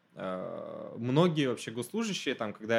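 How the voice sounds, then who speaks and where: Lively intonation marks this man's delivery at a medium pitch. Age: 20s. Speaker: graduate student and former civil servant. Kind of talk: casual interview.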